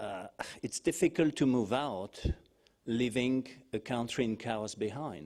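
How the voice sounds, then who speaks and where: A man with a French accent, at a medium pitch and a fairly slow pace. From France. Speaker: think-tank analyst. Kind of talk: panel discussion. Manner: hesitant.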